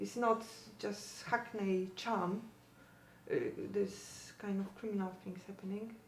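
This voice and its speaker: A woman speaks at a moderate pace in a medium pitch with ordinary pitch variation, amid audible room echo and noticeable background noise. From Poland. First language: Polish. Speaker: parent of teenager. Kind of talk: interview.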